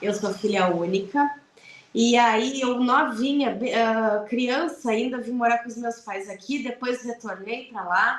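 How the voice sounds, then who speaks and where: A woman with a southern Brazilian accent at a fairly high pitch, very slow pace and ordinary pitch variation, over noticeable background noise. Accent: gaúcho Brazilian Portuguese. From southern Brazil, Rio Grande do Sul (Piratini, Pelotas). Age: 40s. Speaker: lawyer. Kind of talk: radio interview.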